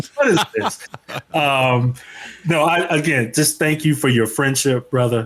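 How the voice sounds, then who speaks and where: Speaking with a strong Chicago accent, a man talks at a fairly slow pace in a fairly high pitch. His pitch variation is ordinary and his loudness very even. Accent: Chicago, still strong. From Chicago, US Midwest. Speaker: leadership speaker and author. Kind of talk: casual interview chat. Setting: remote from home.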